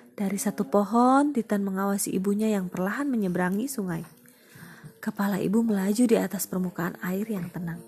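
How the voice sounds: Reading voice, natural in tone.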